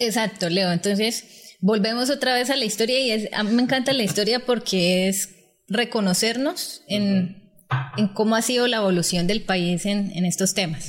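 A woman speaks at a moderate pace with a medium pitch and ordinary pitch variation. Her voice is somewhat breathy, and her loudness stays very even. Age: young. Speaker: social leader and public management expert. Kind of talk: interview, explaining policy.

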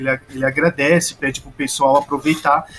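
A man's pitch moves in a normal way. Background noise is clearly present. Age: young. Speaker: podcast co-host. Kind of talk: casual chat.

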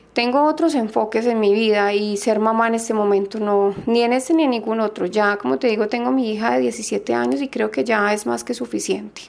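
Over noticeable background noise, a woman with a fairly high pitch talks at a fairly quick pace, her intonation lively and her loudness very even. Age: 30s. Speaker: patient. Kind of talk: testimony.

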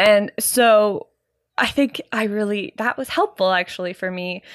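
In a Canadian accent, a woman talks very slowly at a medium pitch with fairly even intonation, on a very clean recording with a silent background and a dry, close sound with no echo. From Canada. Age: 30s. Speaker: podcast host, musician and dance teacher. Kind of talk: casual solo monologue. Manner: rambling with fillers and sighs.

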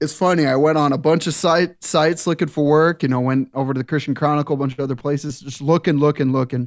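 A man with an American accent talks very fast in a fairly high pitch with fairly even intonation. The recording is very clean, with a silent background. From eastern Montana. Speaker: youth and worship minister. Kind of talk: casual chat. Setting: studio.

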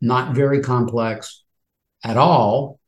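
A man talks at a medium pitch with a somewhat breathy sound. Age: 60s. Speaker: retail options trader, retired financial services professional. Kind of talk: interview.

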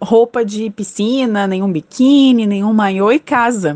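Recorded with a dry, close sound and no echo, a woman with an ordinary speaking voice talks at a moderate pace, her pitch fairly high and her intonation lively. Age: 20s. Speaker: communications analyst. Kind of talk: testimony.

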